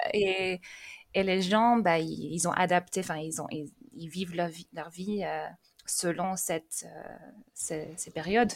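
Her voice marked by vocal fry, a woman speaks very slowly with ordinary pitch variation. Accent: English. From England, raised in France from age 12. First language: English (speaking French). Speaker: language teacher. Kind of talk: casual interview. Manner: hesitant, with repetitions.

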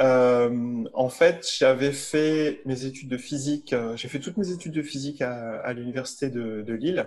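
A man talks at a fairly slow pace with hardly any pauses. His pitch varies in an ordinary way. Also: medium pitch for a man. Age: 40s. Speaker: medical physicist and company founder. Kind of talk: interview. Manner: halting.

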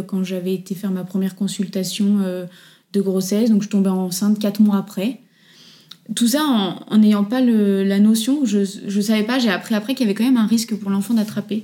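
A woman speaks at a moderate pace in a medium pitch, her somewhat breathy voice dark and mellow in tone with fairly even intonation, on a very clean recording with a silent background. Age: 30s. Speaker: children's accessories designer, former nurse. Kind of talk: interview testimony. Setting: at home, in person.

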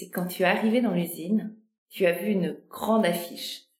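A woman speaks at a moderate pace. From Normandy and Brittany, France. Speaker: podcast host, business consultant. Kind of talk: interview conversation.

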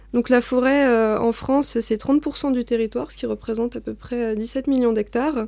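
A woman talks at a moderate pace with hardly any pauses. Her pitch is high and her intonation fairly even. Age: 20s. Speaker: forestry policy officer. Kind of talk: interview. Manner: halting.

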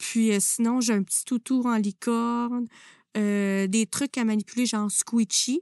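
Very slowly, a woman speaks at a fairly high pitch with a dark, mellow tone and fairly even intonation. The sound is dry and close with no echo, over a quiet background. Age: 30s. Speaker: music teacher and podcast host. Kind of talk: interview.

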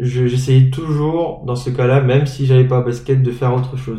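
A somewhat breathy man with a dark, mellow tone, amid audible room echo. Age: 20s. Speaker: former preparatory class student. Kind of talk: interview. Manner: hesitant.

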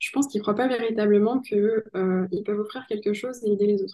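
A woman speaks at a fairly high pitch in a dark, mellow tone. Her pitch variation is ordinary. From southwestern France (Pau). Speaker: sales coach. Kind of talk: podcast interview.

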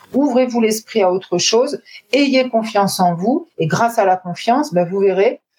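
With a plain, everyday voice, a woman talks at a moderate pace and a fairly high pitch, her intonation lively and her loudness very even. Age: 40s. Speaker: sales trainer. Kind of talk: interview.

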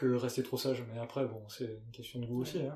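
A man at a moderate pace, with a slight southwestern French accent. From Gers, southwest France. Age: 30s. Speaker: fashion brand co-founder. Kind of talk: casual interview. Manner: hesitant, many fillers and repeats.

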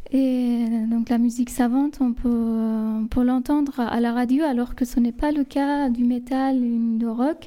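In a Persian accent, a woman talks at a very slow pace, her high voice dark and mellow in tone and monotone, flat in intonation. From southern Iran, Lar. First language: Persian (speaking French). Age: 30s. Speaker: guest. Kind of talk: casual chat.

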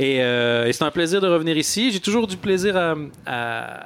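In an ordinary speaking voice, a man talks with lively intonation at a fairly high pitch. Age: 40s. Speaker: comedian. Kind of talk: live panel discussion.

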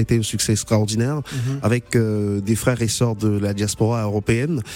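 The speaker is a man with a medium pitch. He talks at a fairly quick pace with fairly even intonation. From Cameroon. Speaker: journalist. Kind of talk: radio interview.

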